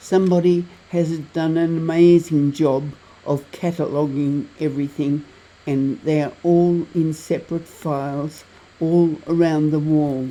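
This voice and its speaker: Speaking at a fairly slow pace with an Australian accent, a woman keeps a very deep, low pitch and a dark, mellow tone, her intonation monotone and flat. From Tasmania, Australia. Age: 80s+. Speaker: travel vlogger. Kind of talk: travel vlog narration.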